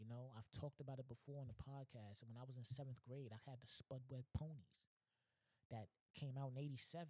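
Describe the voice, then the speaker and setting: A man speaks at a medium pitch in a dark, mellow, somewhat breathy tone. His pace is fairly quick, and the sound is dry and close with no echo. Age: 30s. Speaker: podcast host. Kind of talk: casual monologue. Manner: animated.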